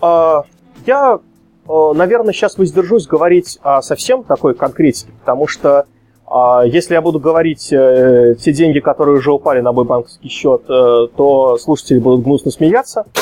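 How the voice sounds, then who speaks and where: Using an ordinary speaking voice, a man speaks at a moderate pace in a fairly high pitch, with lively intonation and very even loudness. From Russia, Samara. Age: 30s. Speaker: game developer, programmer. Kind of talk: podcast interview.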